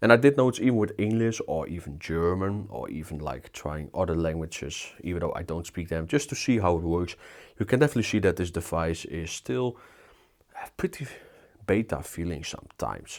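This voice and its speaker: A man with a Dutch accent speaks at a fairly quick pace in a very deep, low voice with lively intonation, recorded very cleanly against a silent background. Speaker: tech reviewer. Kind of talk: product review. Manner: casual, filler-heavy.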